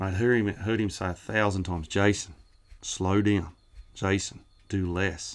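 A man with a rural Australian accent talks at a fairly slow pace, his pitch fairly low. His intonation is monotone and flat, broken by long, frequent pauses. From New South Wales, Australia. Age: 40s. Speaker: cutting horse trainer. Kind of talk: casual interview. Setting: at a showground.

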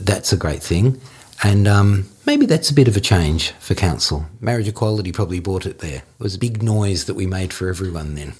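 A man's fairly low, somewhat breathy voice in an Australian accent, at a fairly quick pace with lively intonation. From Australia, Melbourne. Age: 50s. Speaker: interviewee sharing life story. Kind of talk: personal storytelling interview. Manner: halting.

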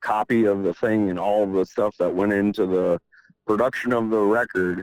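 A man with a normal speaking voice talks at a moderate pace in a fairly low pitch, his intonation fairly even. The recording is very clean, with a silent background. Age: 30s. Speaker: musician. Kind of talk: casual interview.

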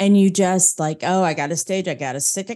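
In an American accent, a woman with a medium pitch and a dark, mellow tone speaks against a quiet background. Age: 50s. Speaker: business coach and former minister. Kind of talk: interview.

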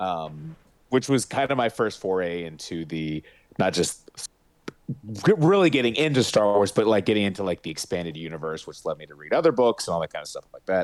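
A man talks at a very deep, low pitch. His intonation is lively. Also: very clean recording, silent background. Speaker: podcast co-host. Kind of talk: casual chat.

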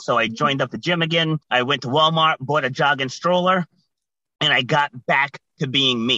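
This man has an ordinary speaking voice, fairly high in pitch, with an American accent, fairly even intonation and a moderate pace. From Rhode Island, US. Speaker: guest, resilience speaker.

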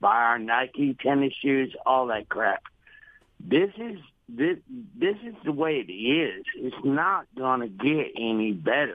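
Very wide pitch swings mark this very slow delivery with a Southern US accent. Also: man, fairly high pitch for a man. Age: 60s. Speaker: carpenter, radio caller. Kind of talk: call-in opinion. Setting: phone call.

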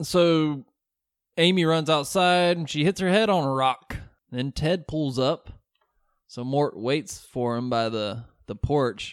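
In a very clean recording with a silent background, a man with a Southern accent speaks very slowly in a fairly high pitch, his intonation lively. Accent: Southern, milder than co-host. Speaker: podcast host. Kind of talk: casual chat with movie recap.

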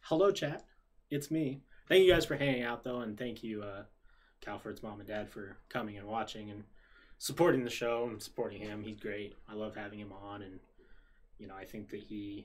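A man with an American accent at fairly low pitch, fairly quick pace with long, frequent pauses, ordinary pitch variation and big swings in loudness. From Utah, US. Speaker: podcast host. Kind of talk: casual chat. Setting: live stream.

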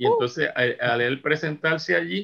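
The man's voice has a bright, sharp tone. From Puerto Rico. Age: 70s. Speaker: musician and arranger. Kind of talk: interview.

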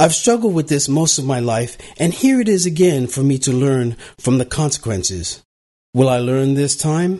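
A man's somewhat breathy, fairly high voice, dark and mellow in tone, with lively intonation at a moderate pace. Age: 60s. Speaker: podcast host. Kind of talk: solo podcast monologue.

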